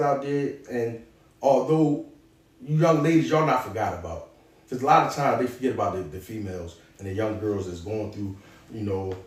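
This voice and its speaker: A man's somewhat breathy voice carries lively intonation at a moderate pace. Audible room echo can be heard. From Philadelphia, North Philly. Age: 40s. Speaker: former prisoner turned author and clothing entrepreneur. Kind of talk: motivational advice in an interview. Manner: animated.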